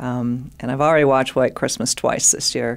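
A woman with an American accent, very deep and low in pitch, with fairly even intonation at a moderate pace. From rural Minnesota, US. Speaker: physician and professor. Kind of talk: casual interview chat. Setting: studio.

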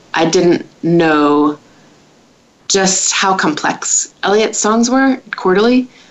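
A woman with an American accent, fairly low in pitch, over noticeable background noise. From United States. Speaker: singer-songwriter. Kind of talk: interview.

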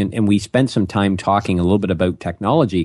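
A man's very deep, low voice with a dark, mellow tone and a Canadian accent, at a very fast pace against a quiet background. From Ontario, Canada. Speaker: business consultant. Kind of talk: interview.

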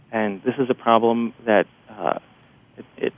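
This man has a plain, everyday voice with an American accent. His pitch is medium and his intonation fairly even. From New Jersey, near New York City. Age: 40s. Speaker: journalist. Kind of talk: radio interview.

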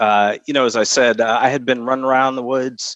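A man with an American accent speaks with monotone, flat intonation. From upstate New York, Albany. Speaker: retired army officer. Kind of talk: interview. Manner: hesitant with frequent fillers.

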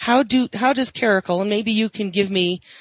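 A woman talks in a normal speaking voice. Her pace is moderate and her intonation fairly even. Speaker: radio host. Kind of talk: radio interview.

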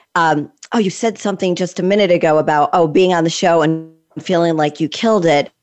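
A woman with an American accent speaks in a normal speaking voice at a moderate pace and a fairly low pitch. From Connecticut. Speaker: podcast host. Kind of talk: casual interview.

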